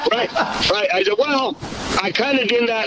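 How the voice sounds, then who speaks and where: A raised, projected voice with ordinary pitch variation, over noticeable background noise. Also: man. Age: 60s. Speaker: musician turned sales rep. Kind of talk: casual chat.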